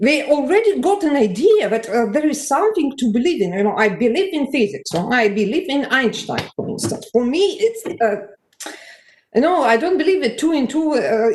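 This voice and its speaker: Audible room echo surrounds a woman's high voice. She talks at a moderate pace with very wide pitch swings. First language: Russian. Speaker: conference audience member. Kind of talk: conference discussion remark. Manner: halting.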